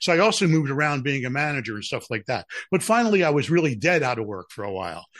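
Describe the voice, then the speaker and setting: Speaking at a very fast pace, a man with an American accent uses a fairly high pitch and very wide pitch swings. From Philadelphia. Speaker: broadcast executive and radio DJ. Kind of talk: casual interview chat.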